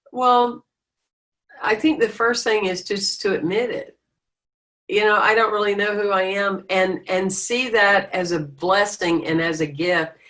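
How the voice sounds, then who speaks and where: Here a woman speaks in an American accent at a medium pitch. She goes at a fairly slow pace with ordinary pitch variation. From US South. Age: 60s. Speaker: spiritual leader. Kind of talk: interview. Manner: animated.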